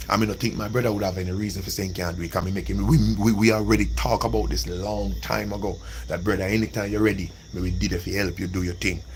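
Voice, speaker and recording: Talking at a very fast pace in a Jamaican accent, a man with a very deep, low pitch makes very wide pitch swings, with audible room echo and noticeable background noise. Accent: Jamaican, with patois. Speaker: livestreamer. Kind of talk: casual livestream monologue. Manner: animated.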